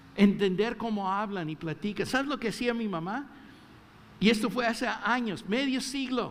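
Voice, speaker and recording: The voice belongs to a man. His pitch rises and falls in an ordinary way. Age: 60s. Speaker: pastor. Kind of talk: sermon. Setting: church.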